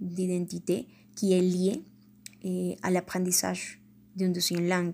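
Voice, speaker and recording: In a Colombian accent, a woman speaks at a very slow pace with a medium pitch and a dark, mellow, somewhat breathy tone on a very clean recording with a silent background. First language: Spanish (speaking French). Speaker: language learner podcaster. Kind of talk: educational monologue. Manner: hesitant, with fillers.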